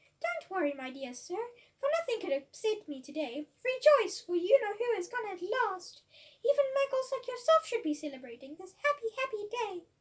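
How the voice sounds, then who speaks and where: A woman's squeaky, put-on character voice at an extremely high pitch, with very wide pitch swings and big swings in loudness. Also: moderate pace. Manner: joyful, gleeful.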